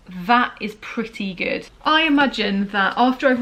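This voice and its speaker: A woman with a British accent speaks with ordinary pitch variation. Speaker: book reviewer vlogger. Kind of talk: casual vlog talk. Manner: chatty, rambling.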